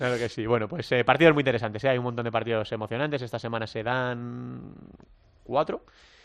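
Over a quiet background, a man of medium pitch talks at a very fast pace with ordinary pitch variation. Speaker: futsal radio show host. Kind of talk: sports talk show.

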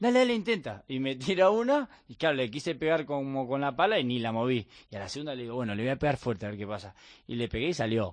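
A man's very fast, lively-toned speech over a quiet background. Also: medium pitch for a man. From Argentina, Bahía Blanca. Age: 30s. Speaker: professional padel player. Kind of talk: radio interview. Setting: radio studio.

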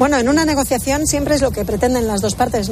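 A woman speaks at a high pitch with fairly even intonation. Noticeable background noise runs behind her. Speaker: radio co-host reading listener messages. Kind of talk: casual chat. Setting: studio.

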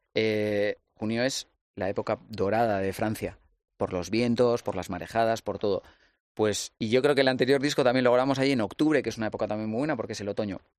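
Against a quiet background, a man talks at a very fast pace in a medium pitch with ordinary pitch variation and a dry, close sound with no echo. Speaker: musician. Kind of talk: casual chat.

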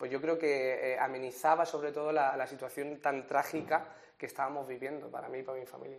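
A man speaks with a fairly high pitch. The intonation is flat and monotone. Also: fairly quick pace. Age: 20s. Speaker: radio presenter and cancer survivor giving talks. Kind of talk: personal testimony interview.

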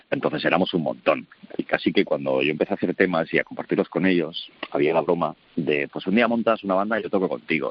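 A man speaks at a very fast pace in a very deep, low voice. His intonation is lively. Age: 40s. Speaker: rock musician. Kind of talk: interview. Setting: phone call. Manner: halting.

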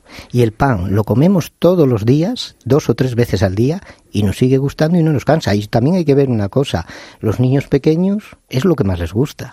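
His voice has a dark, mellow tone and is somewhat breathy. The man's pitch swings very widely. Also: medium pitch for a man, moderate pace. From León, Spain. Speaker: baker. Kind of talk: interview.

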